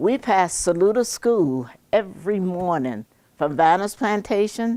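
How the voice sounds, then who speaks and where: On a very clean recording with a silent background, a woman with an American accent speaks with vocal fry and very wide pitch swings. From US South, western North Carolina mountains. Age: 80s+. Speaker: community elder sharing memories. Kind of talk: public speech. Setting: senior center talk with audience.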